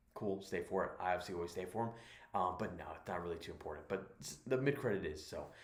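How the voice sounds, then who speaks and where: A man whispering at a very fast pace, somewhat breathy, with audible room echo. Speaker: movie reviewer. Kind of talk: casual review monologue. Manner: halting, many fillers.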